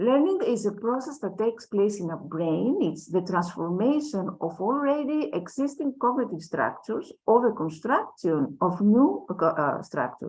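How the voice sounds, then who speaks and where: At a medium pitch and moderate pace, a woman speaks with very wide pitch swings and hardly any pauses. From Greece. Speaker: educator, conference speaker. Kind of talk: lecture.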